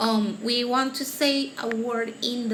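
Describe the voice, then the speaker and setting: A woman speaks at a fairly high pitch. The room echo is audible, and there is noticeable background noise. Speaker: teacher. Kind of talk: tutorial. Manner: halting.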